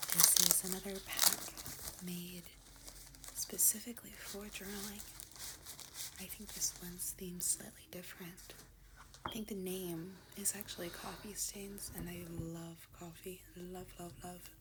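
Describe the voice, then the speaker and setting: Someone whispers in a calm tone with long, frequent pauses, and there is noticeable background noise. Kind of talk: ASMR unboxing talk to camera. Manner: soft-spoken, calm.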